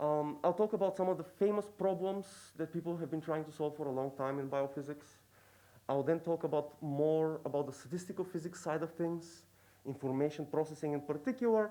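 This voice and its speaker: Speaking in a dark, mellow tone with a non-native accent, a man keeps a fairly high pitch and ordinary pitch variation. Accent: noticeable foreign. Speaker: professor. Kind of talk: lecture. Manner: hesitant, many fillers.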